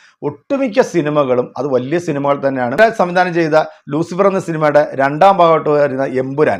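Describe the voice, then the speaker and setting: With a plain, everyday voice, a man speaks at a fairly high pitch with lively intonation against a quiet background. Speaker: film news YouTuber. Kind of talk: scripted narration.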